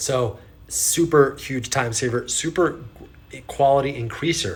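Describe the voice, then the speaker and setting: This man's voice is fairly high-pitched, with a bright, sharp tone. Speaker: business coach. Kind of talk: casual talk to camera. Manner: casual, conversational.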